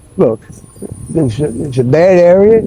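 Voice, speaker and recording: In a Philadelphia accent, a man talks at a fairly slow pace. His high voice has lively intonation. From Philadelphia, US. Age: 60s. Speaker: Navy veteran living on the street. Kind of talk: street interview. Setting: outdoors. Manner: halting, full of fillers.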